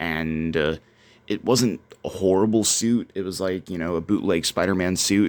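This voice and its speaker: Quiet and very deep, a man's voice keeps fairly even intonation. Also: very clean recording, silent background. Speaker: cosplay youtuber. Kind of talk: casual product review. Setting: at home.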